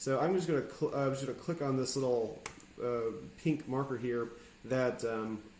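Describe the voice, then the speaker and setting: A man at a medium pitch is heard with audible echo from the room. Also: ordinary pitch variation. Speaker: video editing teacher. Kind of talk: tutorial. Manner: fast; hesitant, many fillers.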